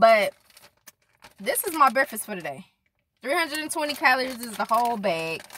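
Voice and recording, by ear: With big pitch swings, a woman speaks at a moderate pace and a fairly high pitch, her bright, sharp tone carrying a slightly husky edge.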